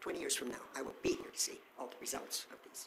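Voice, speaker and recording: Someone whispers at a fairly quick pace with an American accent over noticeable background noise. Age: 80s+. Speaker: audience member asking a question. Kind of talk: audience question.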